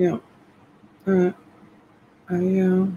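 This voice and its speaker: Over light background noise, a woman speaks very slowly in a somewhat breathy voice with a dark, mellow tone. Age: 50s. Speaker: online reseller and live seller. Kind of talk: live selling stream, casual chat. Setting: home livestream. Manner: softly whispering. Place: home room. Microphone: phone near.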